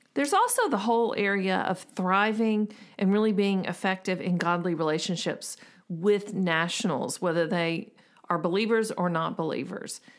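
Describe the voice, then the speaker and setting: A woman with an unremarkable speaking voice talks at a moderate pace in a medium pitch with ordinary pitch variation, on a very clean recording with a silent background. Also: very even loudness. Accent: American. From US South, Memphis, Tennessee. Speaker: podcast co-host, missions counselor. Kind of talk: casual chat. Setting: home office.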